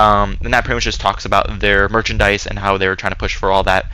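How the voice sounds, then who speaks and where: Very fast speech over noticeable background noise. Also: man. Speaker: gaming YouTuber. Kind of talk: commentary video. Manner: monotone; hesitant, many filler words.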